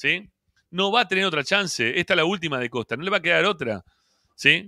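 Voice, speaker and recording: A man at a fairly quick pace with very wide pitch swings, dry with no echo, against a quiet background. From Argentina. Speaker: football fan podcast host; show host. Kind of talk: post-match fan reaction show. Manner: animated, heated. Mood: frustrated, critical. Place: home room. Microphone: handheld.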